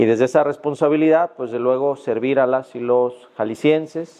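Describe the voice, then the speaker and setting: This man talks at a fairly slow pace. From Mexico, Jalisco. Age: 40s. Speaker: judge and law lecturer. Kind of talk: podcast interview. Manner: hesitant, many fillers.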